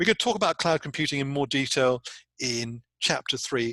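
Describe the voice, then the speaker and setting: Bright, sharp tone from a man with a British accent, lively intonation and a fairly quick pace, dry and close with no echo against a quiet background. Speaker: university lecturer. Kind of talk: recorded lecture. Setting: recording alone without live audience. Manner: animated, conversational.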